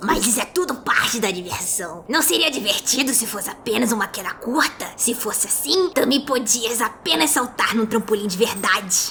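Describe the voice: A put-on character voice that sounds female talks with hardly any pauses. Clear background noise is present. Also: fairly high pitch for a woman, moderate pace.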